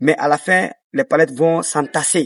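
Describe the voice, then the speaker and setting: With a West African accent, a man talks at a moderate pace in a fairly high pitch with lively intonation, in a dry, close sound with no echo and a quiet background. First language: Dioula (speaking French). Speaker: dancer and choreographer. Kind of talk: interview. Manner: hesitant, many fillers.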